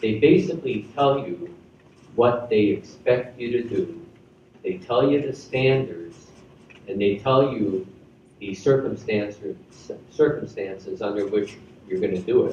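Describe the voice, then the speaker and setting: A man with an American accent speaks at a fairly slow pace in a medium pitch, his tone dark and mellow and somewhat breathy, with lively intonation, long, frequent pauses, audible room echo and light background noise. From US Midwest, Chicago. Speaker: retired army general; guest. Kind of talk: school assembly speech. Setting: school assembly with audience. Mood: warm, earnest. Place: hall. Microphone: podium.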